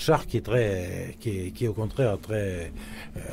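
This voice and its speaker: This man speaks at a fairly slow pace in a dark, mellow tone that is somewhat breathy. His intonation is lively. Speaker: cartoonist. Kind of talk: interview. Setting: live event. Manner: halting.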